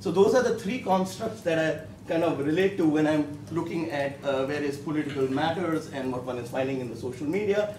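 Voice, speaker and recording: A man with a fairly high pitch speaks at a moderate pace with lively intonation. Audible room echo and noticeable background noise accompany him. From India. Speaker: professor. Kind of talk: panel discussion. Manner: halting, many fillers.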